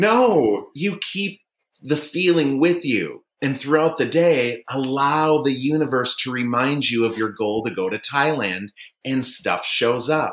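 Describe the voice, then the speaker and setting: A plain, everyday voice, fairly slow, with lively intonation. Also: man, fairly high pitch for a man. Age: 40s. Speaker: life coach. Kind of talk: casual chat.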